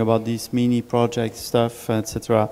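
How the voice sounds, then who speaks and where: A man of medium pitch at a fairly slow pace, with noticeable background noise. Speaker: relays remote chat comments. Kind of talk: group discussion.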